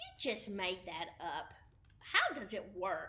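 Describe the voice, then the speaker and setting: Using a put-on character voice, a woman speaks at a fairly slow pace and medium pitch. Light background noise can be heard. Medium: read story. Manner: groggy, puzzled.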